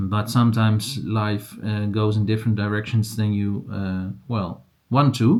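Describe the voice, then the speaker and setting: A man speaks with a Dutch accent at a fairly low pitch. His intonation is monotone and flat. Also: fairly slow pace. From Netherlands. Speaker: crochet and yarn vlogger. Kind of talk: casual vlog. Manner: halting, many fillers.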